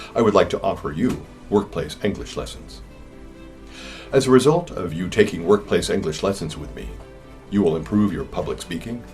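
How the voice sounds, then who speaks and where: With an American accent, the speaker moves at a fairly quick pace, with big swings in loudness, long and frequent pauses, and music in the background. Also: man. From California. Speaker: English teacher. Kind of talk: sales pitch.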